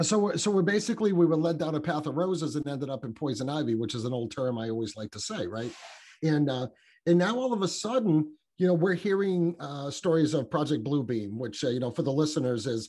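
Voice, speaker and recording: A man's fairly high-pitched, dark and mellow voice, fairly quick, with very wide pitch swings. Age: 50s. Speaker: podcaster. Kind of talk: casual chat. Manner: halting.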